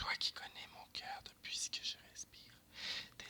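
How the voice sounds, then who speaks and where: Noticeable background noise surrounds someone whispering at a very slow pace. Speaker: ASMR reader. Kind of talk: verse drama reading. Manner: whispered.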